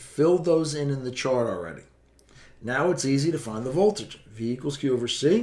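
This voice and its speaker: A man in a plain, everyday voice, fairly high in pitch, at a fairly quick pace with lively intonation and big swings in loudness. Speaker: physics teacher. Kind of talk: tutorial.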